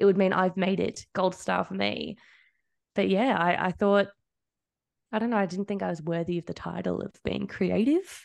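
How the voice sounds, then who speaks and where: Speaking at a moderate pace with long, frequent pauses, a woman with an Australian accent is heard against a quiet background. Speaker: social media manager. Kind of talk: casual interview.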